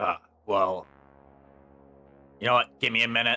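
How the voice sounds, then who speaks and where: A man performs in a put-on character voice at a medium pitch. Music plays in the background. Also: moderate pace. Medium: actual play. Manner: hesitant, evasive, halting.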